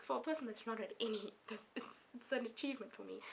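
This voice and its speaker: Vocal fry runs through this woman's speech. She has a fairly high pitch and an animated tone. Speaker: book vlogger. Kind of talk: casual vlog talk to camera. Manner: animated, chatty; halting with fillers.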